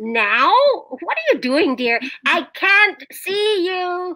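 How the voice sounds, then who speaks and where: In a put-on character voice, a woman speaks at an extremely high pitch and a very slow pace, with very wide pitch swings. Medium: voice reel. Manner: warm, affectionate.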